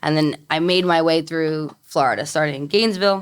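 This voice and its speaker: A woman with an American accent speaks with a very deep, low pitch and fairly even intonation. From New York, Brooklyn. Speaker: mortgage lender. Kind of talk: casual chat.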